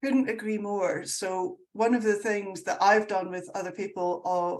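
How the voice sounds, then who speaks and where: Speaking at a moderate pace in a Scottish accent, a woman keeps a medium pitch with ordinary pitch variation. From Scotland. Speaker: sustainability consultant. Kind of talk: casual chat. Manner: animated.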